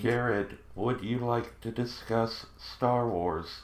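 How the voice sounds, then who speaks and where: The man adopts a put-on character voice, pitched in the medium range. His delivery is fairly slow. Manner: eerie, emotionless.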